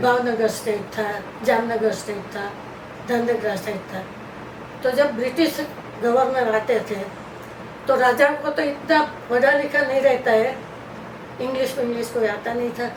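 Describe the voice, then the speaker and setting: Noticeable background noise sits behind a woman speaking at a high pitch. She uses fairly even intonation and long, frequent pauses. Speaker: grandmother sharing life stories. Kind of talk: interview answer.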